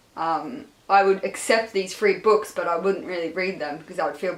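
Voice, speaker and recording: Noticeable background noise under a woman's fairly low-pitched voice. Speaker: book vlogger. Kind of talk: casual chat. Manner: animated.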